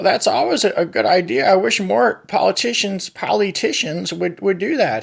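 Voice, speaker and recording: A man performs a cartoonish character voice pitched high. He moves at a moderate pace with hardly any pauses. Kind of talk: comedic puppet talk show on politics and environment. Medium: puppet. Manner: funny, folksy.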